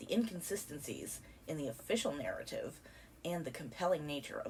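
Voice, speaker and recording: A woman's very deep, low voice at a moderate pace. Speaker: documentary narrator. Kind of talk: scripted narration.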